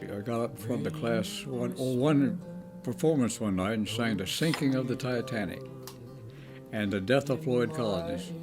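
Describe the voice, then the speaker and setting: A man's medium-pitched voice with a Maryland Eastern Shore accent, lively intonation and a moderate pace, music in the background. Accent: Maryland Eastern Shore rural American. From Eastern Shore of Maryland. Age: 90s. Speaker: country musician, WWII veteran. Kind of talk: interview answer.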